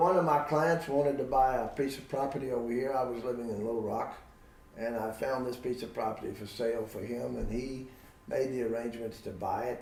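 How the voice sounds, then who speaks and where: In a room with audible echo, a man with an American accent talks at a fairly quick pace, his medium pitch showing ordinary variation. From Virginia, US. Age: 80s+. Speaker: veterinarian. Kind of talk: interview.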